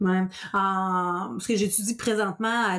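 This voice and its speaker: A woman is speaking. Her pitch is medium. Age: 30s. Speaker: podcast host, sleep consultant. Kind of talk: casual interview. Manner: animated.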